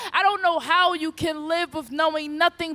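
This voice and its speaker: A woman with an extremely high voice speaks at a moderate pace with fairly even intonation. The sound is dry and close with no echo, though noticeable background noise is present. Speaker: spoken word poet. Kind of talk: spoken word poetry performance.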